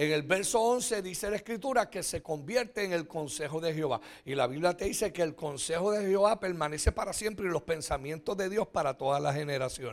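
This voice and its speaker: Speech comes at a fairly quick pace in an animated tone with hardly any pauses, on a very clean recording with a silent background. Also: man, high pitch for a man. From Puerto Rico. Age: 60s. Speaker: pastor. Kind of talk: sermon. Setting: church.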